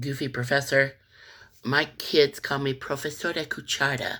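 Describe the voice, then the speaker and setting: In an American accent, a woman talks at a moderate pace with a relaxed tone and a very deep, low pitch. The recording is very clean, with a silent background. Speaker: music and Spanish teacher. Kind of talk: casual tutorial talk to camera. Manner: relaxed, with many fillers.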